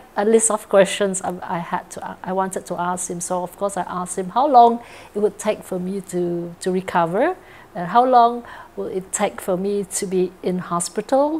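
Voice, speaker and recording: This woman speaks at a medium pitch and a moderate pace, with ordinary pitch variation. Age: 60s. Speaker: cancer survivor. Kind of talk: interview testimony. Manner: hesitant, with fillers.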